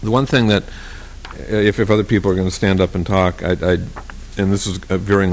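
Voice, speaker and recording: Against noticeable background noise, a man speaks in a monotone with flat intonation. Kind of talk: formal council meeting.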